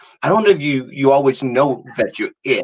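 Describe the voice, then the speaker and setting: An ordinary speaking voice from a man with an American accent, fairly high in pitch, lively in intonation, at a moderate pace. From US Virgin Islands. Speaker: artist and interviewer. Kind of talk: casual chat.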